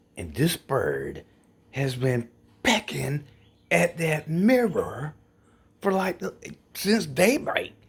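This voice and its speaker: Quiet and somewhat breathy, a man speaks at a very slow pace. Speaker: vlogger. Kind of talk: casual vlog.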